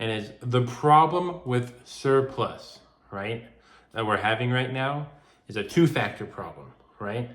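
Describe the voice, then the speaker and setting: A man mumbling at a fairly slow pace. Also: medium pitch for a man, ordinary pitch variation. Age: young. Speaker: gun collector. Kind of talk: casual talk to camera. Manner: unedited, some mumbling and stuttering.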